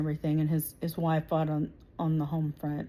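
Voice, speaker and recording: A woman with an American accent speaks at a fairly low pitch in a dark, mellow tone. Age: 40s. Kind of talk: direct-to-camera political monologue. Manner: hesitant, many 'um' fillers.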